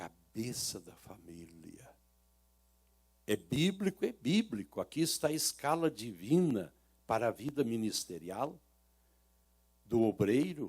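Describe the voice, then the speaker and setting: The delivery is very slow, with long, frequent pauses, very wide pitch swings and big swings in loudness. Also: man, medium pitch for a man. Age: 60s. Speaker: pastor. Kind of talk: sermon.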